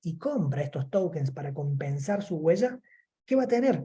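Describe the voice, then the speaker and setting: A man talks at a fairly quick pace. His pitch is high, with a dark, mellow tone. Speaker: law professor. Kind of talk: lecture. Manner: fast.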